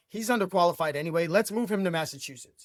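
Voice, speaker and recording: This man talks at a high pitch and a fairly quick pace, with lively intonation and an animated tone. The sound is dry and close, with no echo. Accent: New York. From Brooklyn, New York. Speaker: sports franchise owner. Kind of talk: podcast interview.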